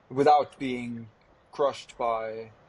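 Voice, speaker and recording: A man with a Norwegian accent speaks at a medium pitch. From Norway. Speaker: vegan activist. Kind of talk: podcast interview.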